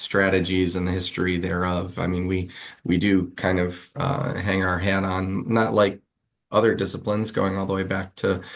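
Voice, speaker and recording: A man with an American accent, very deep and low in pitch, at a moderate pace with ordinary pitch variation. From Western New York (Buffalo area). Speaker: English professor. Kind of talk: interview. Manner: halting, many fillers.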